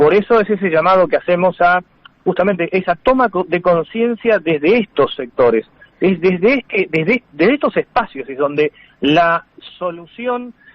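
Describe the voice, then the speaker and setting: A man speaks at a high pitch and a moderate pace with lively intonation. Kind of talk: radio interview.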